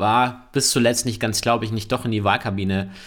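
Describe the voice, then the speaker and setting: His pace is moderate. The man's voice sits at a medium pitch. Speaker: politician, member of parliament. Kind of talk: casual chat. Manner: halting, many fillers.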